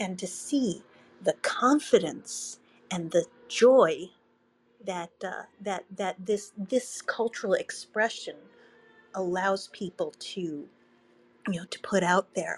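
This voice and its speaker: Woman at medium pitch with ordinary pitch variation, very slow pace, long, frequent pauses, big swings in loudness, and music in the background. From Brooklyn, New York. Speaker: guest speaker. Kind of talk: casual chat. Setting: Clubhouse audio room. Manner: halting, many fillers.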